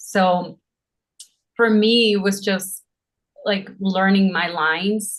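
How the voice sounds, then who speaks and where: Her voice somewhat breathy, a woman talks at a medium pitch. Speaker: actress. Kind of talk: interview.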